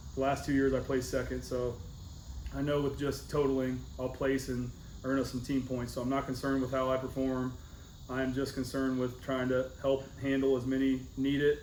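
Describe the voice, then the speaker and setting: Speaking fairly quickly with a monotone, flat delivery, a man with a medium-pitched voice is heard over audible room echo. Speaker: powerlifting coach. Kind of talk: team meeting. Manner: fast.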